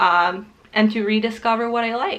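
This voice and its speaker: With a Ukrainian accent, a woman speaks in a fairly high pitch and monotone, flat intonation. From Ukraine. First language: not English (Ukrainian or Russian). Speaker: booktuber. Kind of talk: casual vlog talk to camera. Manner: casual, with fillers.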